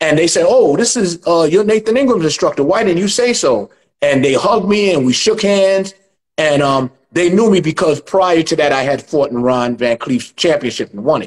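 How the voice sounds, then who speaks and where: With a New York accent, a man speaks at a moderate pace in a high voice that swings very widely in pitch. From New York City (Chinatown). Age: 60s. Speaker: martial arts instructor. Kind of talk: interview.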